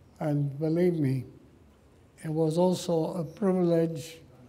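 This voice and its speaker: With fairly even intonation, a man speaks at a very slow pace amid audible room echo. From Poland, Warsaw. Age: 90s. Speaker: Holocaust survivor speaker. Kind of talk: public talk.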